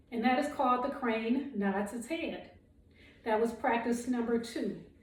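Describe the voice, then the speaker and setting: A woman with a high pitch keeps her intonation fairly even. The room echo is audible, and background noise is noticeable. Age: 60s. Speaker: qigong instructor. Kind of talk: guided exercise instruction. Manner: calm, measured.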